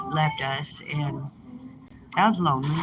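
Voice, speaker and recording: There is music in the background. A woman talks at a very slow pace. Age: 60s. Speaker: livestreamer reading chat. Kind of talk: casual live stream chat. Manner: halting.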